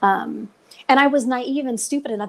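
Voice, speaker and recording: A woman with an American accent talks at a moderate pace. It is an ordinary speaking voice with ordinary pitch variation. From Nevada. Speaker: retired coast guard aircrew, crash survivor. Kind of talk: podcast interview storytelling.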